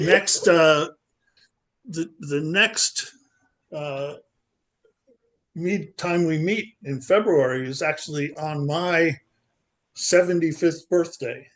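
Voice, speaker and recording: At a very slow pace, a man speaks with long, frequent pauses. His fairly high pitch shows ordinary variation. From US Northeast, Long Island, New York. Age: 70s. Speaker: poetry group participant. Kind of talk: casual chat. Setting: video call. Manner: halting, many fillers and repeats.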